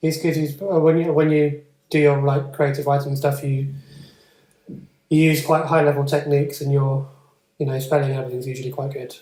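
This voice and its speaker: A man speaks fairly quickly in a fairly high, somewhat breathy voice with a dark, mellow tone. His intonation is monotone and flat, broken by long, frequent pauses. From England. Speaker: tutor and podcast host. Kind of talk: casual chat.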